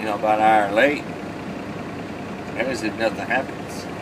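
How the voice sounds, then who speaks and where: Noticeable background noise runs behind a man as he talks. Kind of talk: casual vlog chat. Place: car. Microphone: phone near.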